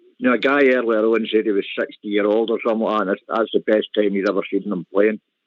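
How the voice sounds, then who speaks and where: A man speaks at a very fast pace with hardly any pauses and fairly even intonation. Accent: Glasgow. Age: 60s. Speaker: caller. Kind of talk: phone-in call. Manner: halting.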